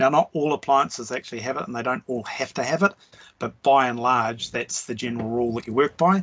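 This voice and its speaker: A man with a New Zealand accent talks at a fairly quick pace and a medium pitch. His pitch variation is ordinary, and the sound is dry and close with no echo. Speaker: trade tutor. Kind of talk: online lecture. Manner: hesitant, many fillers.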